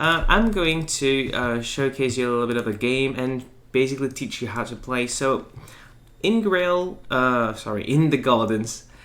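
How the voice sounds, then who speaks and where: Audible room echo surrounds a man's medium-pitched voice. He talks at a moderate pace with ordinary pitch variation. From France. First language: French. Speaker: board game presenter. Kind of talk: tutorial. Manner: halting, many fillers.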